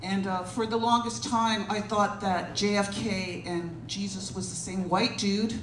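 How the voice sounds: A woman at a fairly slow pace, fairly even intonation, with audible room echo around her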